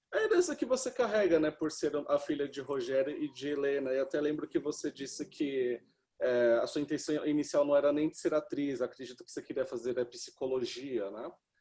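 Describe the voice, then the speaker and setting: With a Brazilian accent, a man talks at a fairly quick pace with hardly any pauses and big swings in loudness. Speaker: film critic interviewer. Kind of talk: interview. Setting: video call.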